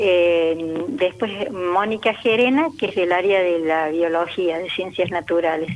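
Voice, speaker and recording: Noticeable background noise surrounds a woman with a fairly low pitch. She uses ordinary pitch variation and hardly any pauses. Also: fairly slow pace. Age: 70s. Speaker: retired teacher and author. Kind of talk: radio interview. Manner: halting.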